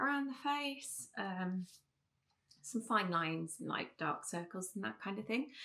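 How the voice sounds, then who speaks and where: Speaking fairly slowly with an English accent, the voice makes very wide pitch swings. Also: woman. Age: 40s. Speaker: beauty and lifestyle vlogger. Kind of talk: casual chat. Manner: chatty, many fillers.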